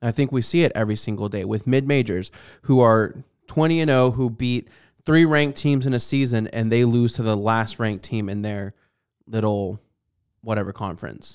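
A man's voice, a normal speaking voice, with ordinary pitch variation, in a very clean recording against a silent background. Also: medium pitch for a man, moderate pace. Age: 20s. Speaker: sports podcast co-host. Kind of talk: casual chat. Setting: studio.

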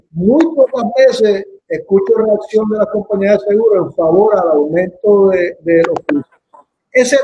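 A man with a high pitch speaks at a fairly slow pace, his pitch varying in an ordinary way. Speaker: talk show host. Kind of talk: interview. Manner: halting.

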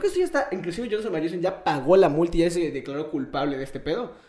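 Against noticeable background noise, a man with a Mexican accent speaks at a high pitch with ordinary pitch variation. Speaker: podcast host. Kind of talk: casual chat.

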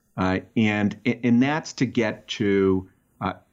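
The man's voice sits at a fairly low pitch and carries a slight Boston accent. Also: quiet background. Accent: barely any Boston. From Boston, Massachusetts. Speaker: tech startup founder and marketing executive. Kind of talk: interview. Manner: halting, repeats words.

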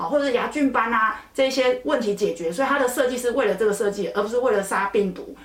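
A woman speaks very fast in a high pitch with lively intonation and an animated tone, with noticeable background noise and audible room echo. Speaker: dermatologist. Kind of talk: educational podcast chat.

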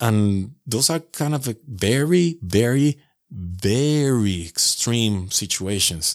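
On a very clean recording with a silent background, a man talks at a very slow pace with lively intonation. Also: medium pitch for a man. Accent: Venezuelan. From Venezuela, Caracas. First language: Spanish. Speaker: podcaster. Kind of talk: casual interview chat. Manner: halting.

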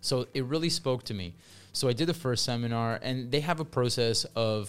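A man with a Canadian accent, music playing in the background. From Canada. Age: 40s. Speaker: English teacher. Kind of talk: casual chat. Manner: loud.

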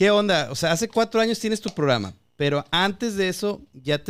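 On a very clean recording with a silent background, a man with a high pitch talks at a fairly quick pace. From Guadalajara, Mexico. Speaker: podcast host. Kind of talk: casual interview.

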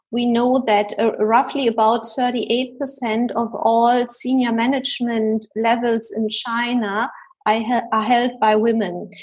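In a German accent, a woman speaks very slowly with monotone, flat intonation. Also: fairly high pitch for a woman. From Germany. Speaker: executive coach and researcher. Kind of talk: interview.

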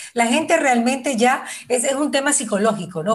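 At a moderate pace, a woman uses lively intonation in an unremarkable speaking voice. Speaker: radio host. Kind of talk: casual chat.

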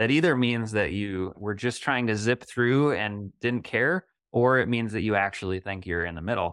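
In a quiet setting, a man with a fairly low pitch and a normal speaking voice keeps a moderate pace with hardly any pauses and ordinary pitch variation. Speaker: nonprofit executive director. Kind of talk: casual interview conversation.

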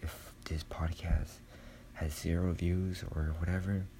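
Whispering very slowly, a soft-spoken man sounds somewhat breathy. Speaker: podcaster. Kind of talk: solo monologue, personal confession. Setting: dark room at home, poor audio quality. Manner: halting, hesitant, filler-heavy; soft-spoken, whispering.

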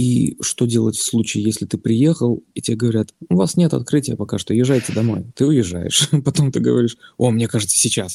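The man's tone is dark, mellow and somewhat breathy, with ordinary pitch variation. He speaks at a fairly quick pace in a dry, close sound with no echo. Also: medium pitch for a man. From Baltic states. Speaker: new father. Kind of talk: casual interview.

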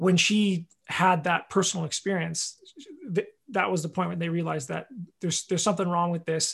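On a very clean recording with a silent background, a man with a Canadian accent and a high pitch speaks at a fairly quick pace with fairly even intonation. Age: 20s. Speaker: farmer. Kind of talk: interview. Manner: halting.

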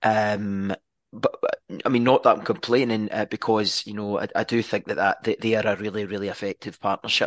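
With a Scottish accent, a man speaks in a fairly low, monotone voice with flat intonation at a moderate pace, against a quiet background, and the sound is dry and close with no echo. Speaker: football podcast co-host. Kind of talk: casual chat. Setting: video call. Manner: halting.

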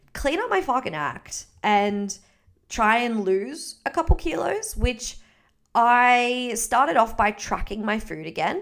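With an Australian accent, a woman speaks in an animated tone with lively intonation. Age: 20s. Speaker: podcast host and fitness coach. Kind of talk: casual solo chat.

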